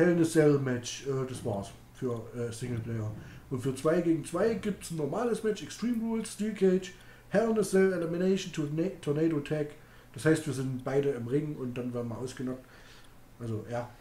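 A man's fairly high voice swings very widely in pitch. He pauses long and often, and audible room echo surrounds him. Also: moderate pace. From Thuringia, Germany (Greiz); Thuringia, Germany. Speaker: gaming streamer. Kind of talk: casual live-stream chat while gaming. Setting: home live stream. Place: home room.

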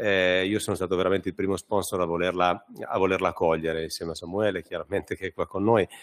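Over a quiet background, a man speaks very fast in a very deep, low, monotone voice with flat intonation. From Italy, Marche. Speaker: insurance company representative. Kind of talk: press conference speech. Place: hall.

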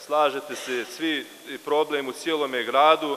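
The man's speech moves along at a moderate pace. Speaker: assembly councillor. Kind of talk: formal speech to assembly. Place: hall. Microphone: podium.

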